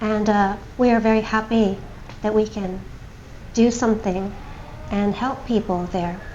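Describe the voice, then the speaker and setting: Over noticeable background noise and audible room echo, a woman with a Japanese accent speaks at a fairly high pitch in a monotone, flat delivery broken by long, frequent pauses. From Japan, raised also in England, US, Hong Kong. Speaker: NGO founder and TV host. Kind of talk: interview. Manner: hesitant fillers.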